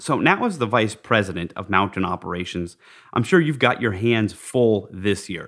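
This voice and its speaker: Against a very clean recording with a silent background, a man with an American accent talks at a moderate pace. His is a plain, everyday voice, fairly low in pitch with ordinary pitch variation. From Park City, Utah. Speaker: podcast host. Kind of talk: interview conversation.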